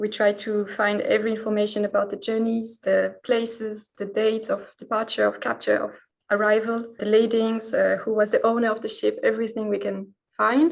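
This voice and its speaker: The speaker is a woman with a French accent. She talks at a moderate pace. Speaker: historical researcher. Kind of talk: podcast interview.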